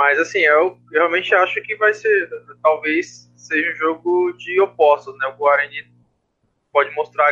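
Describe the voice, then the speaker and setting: Here a man talks at a moderate pace. His pitch is fairly high and his tone bright and sharp. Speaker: podcast co-host and flag football player. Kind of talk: casual sports chat.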